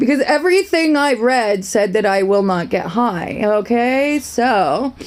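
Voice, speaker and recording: A woman's voice over noticeable background noise. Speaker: vlogger sharing personal story. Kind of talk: casual monologue vlog. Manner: rambling, self-interrupting.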